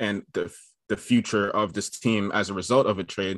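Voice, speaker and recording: On a very clean recording with a silent background and a dry, close sound with no echo, a man with a New York accent speaks fairly slowly at a fairly low pitch with fairly even intonation. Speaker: basketball podcaster. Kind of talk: casual chat. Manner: halting.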